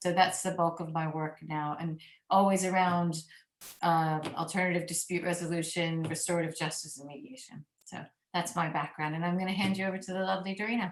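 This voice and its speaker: This is an ordinary speaking voice. It moves at a fairly quick pace with fairly even intonation. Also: woman, fairly low pitch for a woman, big swings in loudness. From United States. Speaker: mediator. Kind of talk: panel presentation.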